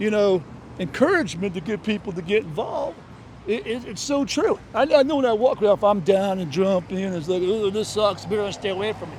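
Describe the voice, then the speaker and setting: With an American accent, a man talks at a fairly quick pace in a high pitch with lively intonation over noticeable background noise. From Florida Gulf Coast, Clearwater area. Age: 60s. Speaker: podcast host, street interviewer. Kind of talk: street interview. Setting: outdoors at a beach.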